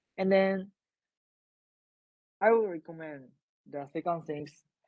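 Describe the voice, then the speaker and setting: A man's dark, mellow tone with a Japanese accent, dry and close with no echo. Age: 20s. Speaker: invited speaker. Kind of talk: talk to online audience. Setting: video call. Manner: halting.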